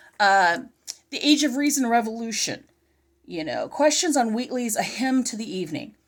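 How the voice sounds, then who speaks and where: A woman talks at a moderate pace in a high voice with lively intonation and big swings in loudness. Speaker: homeschooling parent and curriculum reviewer. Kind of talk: casual product review chat.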